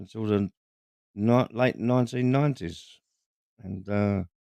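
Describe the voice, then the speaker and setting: Dry and close with no echo, a man's fairly low voice has a dark, mellow tone, a moderate pace and ordinary pitch variation. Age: 60s. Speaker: builder and YouTuber. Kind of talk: casual interview chat on livestream. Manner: halting, repeats words.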